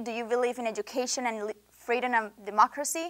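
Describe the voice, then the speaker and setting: On a very clean recording with a silent background, a woman with a Venezuelan accent speaks at a high pitch with ordinary pitch variation. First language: Spanish. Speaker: international student. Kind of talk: interview. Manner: impassioned.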